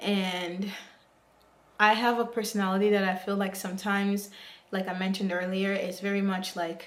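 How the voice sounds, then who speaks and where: A woman speaks at a medium pitch and a fairly quick pace, her intonation monotone and flat. Audible room echo is present. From Africa, moved to the US as a child. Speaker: YouTuber. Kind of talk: vlog monologue to camera. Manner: hesitant, with fillers.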